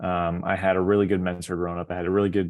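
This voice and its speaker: With an American accent, this man talks in a very deep, low pitch and a monotone, flat intonation. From US West Coast, San Diego. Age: 30s. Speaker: professional baseball pitcher. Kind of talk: talk to students. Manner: casual, hesitant with many fillers.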